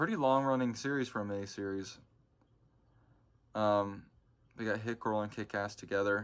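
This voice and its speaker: Fairly even intonation marks this man's speech, broken by long, frequent pauses. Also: fairly low pitch for a man, moderate pace. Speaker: comic collector youtuber. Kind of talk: casual haul video monologue.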